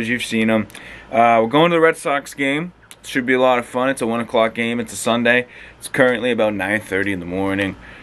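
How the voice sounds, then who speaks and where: With an American accent, a man at medium pitch speaks at a fairly quick pace with ordinary pitch variation and big swings in loudness, over noticeable background noise. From Massachusetts. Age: 20s. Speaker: vlogger. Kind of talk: casual talk to camera.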